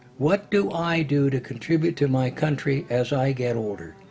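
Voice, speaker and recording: A man with a Canadian accent speaks at a fairly high pitch, his intonation lively. Music plays in the background. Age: 80s+. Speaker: retired politician. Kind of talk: documentary interview answer.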